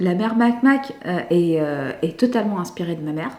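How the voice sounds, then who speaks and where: Against noticeable background noise, a woman speaks with very wide pitch swings. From France, Lebanese family. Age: 30s. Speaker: comedian. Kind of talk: interview. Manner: hesitant, many 'euh'.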